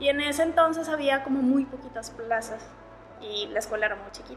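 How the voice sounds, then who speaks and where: A woman with a high-pitched voice speaks at a moderate pace against noticeable background noise. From Monterrey, northern Mexico. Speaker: illustrator. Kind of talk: casual interview chat. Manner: animated, laughs often.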